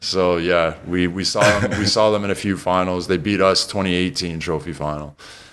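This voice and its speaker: Over noticeable background noise, a man with a Canadian accent speaks at a moderate pace with a very deep, low pitch and fairly even intonation. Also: hardly any pauses. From Canada (Toronto). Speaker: retired basketball player and TV commentator. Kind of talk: casual podcast interview.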